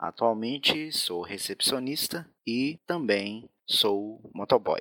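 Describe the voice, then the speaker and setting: A man with a fairly low voice speaks with lively intonation on a very clean recording with a silent background. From Minas Gerais, Brazil. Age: 20s. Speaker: hotel receptionist and motorcycle courier. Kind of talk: recorded personal testimony. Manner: halting, many fillers.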